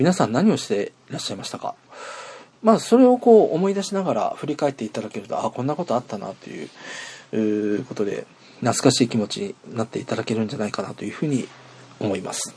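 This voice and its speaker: A man talks at a very fast pace with a fairly high pitch. His pitch swings very widely and his loudness shifts in big swings. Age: 40s. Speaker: internet radio host. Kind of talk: casual solo podcast monologue. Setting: outdoors at a train station.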